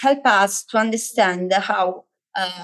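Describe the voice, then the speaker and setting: In an Italian accent, a woman speaks at a very slow pace and a medium pitch with ordinary pitch variation. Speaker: education lecturer. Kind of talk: online workshop lecture. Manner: halting, many fillers.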